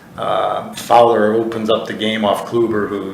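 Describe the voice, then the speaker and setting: Audible room echo and noticeable background noise around a man speaking. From US Midwest, Chicago. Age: 60s. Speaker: college football head coach. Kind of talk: casual interview chat.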